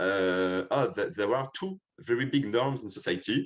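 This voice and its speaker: In a French accent, a man at medium pitch speaks with very wide pitch swings against a quiet background. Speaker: filmmaker. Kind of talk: interview. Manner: halting.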